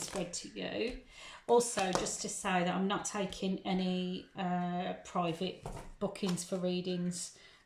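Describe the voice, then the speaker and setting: Flat, monotone speech comes through with audible room echo and noticeable background noise. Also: woman. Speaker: tarot reader. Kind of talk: tarot reading monologue. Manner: hesitant, many ums.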